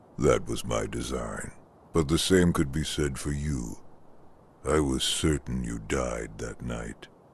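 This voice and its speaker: A man in a put-on character voice speaks at a fairly slow pace with a very deep, low pitch. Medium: video game. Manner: measured, silky.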